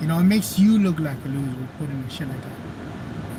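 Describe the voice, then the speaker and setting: Speaking in a strong Mexican accent, a man with a fairly high pitch is heard amid audible room echo and noticeable background noise. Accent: Mexican Spanish accent, heavy. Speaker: activist and video streamer. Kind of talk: live stream chat. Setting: live stream.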